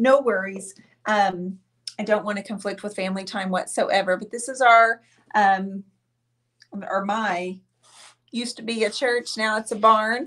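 Against a quiet background, a woman with a fairly high pitch and a bright, sharp tone speaks with fairly even intonation and long, frequent pauses. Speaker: painting artist and channel host. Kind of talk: live-stream painting show with giveaway. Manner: chatty, warm. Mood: cheerful, festive. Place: studio.

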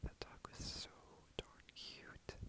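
A man whispering at a fairly slow pace in a gentle tone. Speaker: roleplay boyfriend. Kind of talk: boyfriend role-play ASMR comfort talk. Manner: soft, gentle, whispered.

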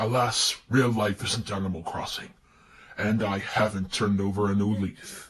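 A man speaks with a fairly low pitch. His intonation stays fairly even. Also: moderate pace. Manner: theatrical, smug.

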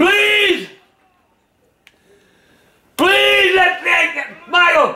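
With a very slow pace and lively intonation, a man speaks in an extremely high pitch and a bright, sharp tone.

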